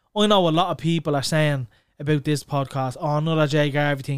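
Fairly quick speech from a man with an Irish accent and a fairly high pitch, dry and close with no echo, on a very clean recording with a silent background. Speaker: podcast host. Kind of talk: casual chat. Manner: fast.

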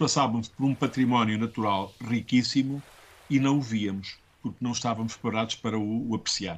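A man talks in a medium pitch, his pitch varying in an ordinary way, at a moderate pace. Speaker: schoolteacher. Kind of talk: interview. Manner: hesitant, many fillers.

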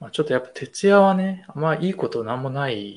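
A man speaks in a somewhat breathy voice. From Tokyo. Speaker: designer and video creator. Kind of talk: casual chat.

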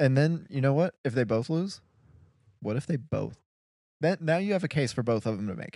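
Lively intonation and a dark, mellow tone at a fairly quick pace, long, frequent pauses, and a very clean recording with a silent background. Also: man, fairly high pitch for a man. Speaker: podcast host. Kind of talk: casual sports chat.

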